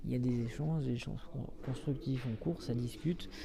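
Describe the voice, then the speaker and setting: Somewhat breathy and dark, mellow in tone, a man speaks at a medium pitch and moderate pace with audible room echo. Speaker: livestream reporter. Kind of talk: live on-the-scene commentary. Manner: hesitant, many fillers.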